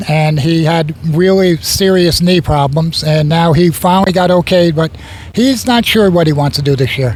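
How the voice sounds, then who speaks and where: Against noticeable background noise, a man speaks at a high pitch with very even loudness. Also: ordinary pitch variation, moderate pace. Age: 70s. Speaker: veteran race car driver. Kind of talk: trackside interview.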